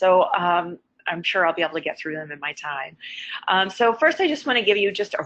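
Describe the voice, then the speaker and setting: This woman has an American accent and a fairly low pitch. She talks at a fairly quick pace with lively intonation. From Iowa, US Midwest. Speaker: plant disease scientist. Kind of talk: webinar presentation. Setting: online webinar call. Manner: fast.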